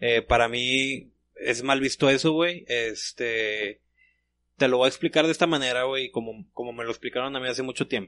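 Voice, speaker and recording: Against a quiet background, a man with a medium pitch uses a bright, sharp tone and fairly even intonation. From Monterrey, Mexico. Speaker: podcast co-host. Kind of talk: casual chat. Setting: studio.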